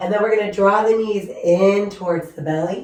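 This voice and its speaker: A woman talks in a flat, monotone way, and the room echo is audible. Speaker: yoga instructor. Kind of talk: guided yoga class instruction. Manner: calm, gentle.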